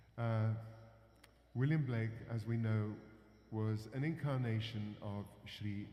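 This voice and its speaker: The voice has a dark, mellow tone and fairly even intonation, with an English accent. Audible room echo surrounds it. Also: man. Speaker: performer introducing songs. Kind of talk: talk to audience with interpreter. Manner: halting.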